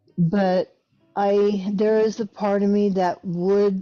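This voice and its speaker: A woman speaking at a very slow pace, dry and close with no echo, over music in the background. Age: 60s. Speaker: caller. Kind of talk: casual chat.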